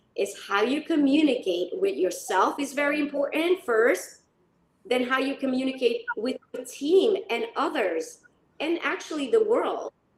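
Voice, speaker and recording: A woman's high voice with very wide pitch swings at a fairly slow pace. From North Macedonia. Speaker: leadership consultant. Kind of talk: panel discussion. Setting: live stream.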